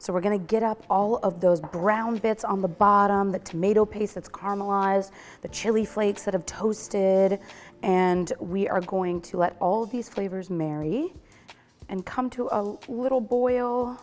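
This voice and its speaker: A woman with an American accent, medium pitch, fairly even intonation and a moderate pace. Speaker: cooking show host. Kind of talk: cooking tutorial. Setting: test kitchen. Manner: casual, chatty.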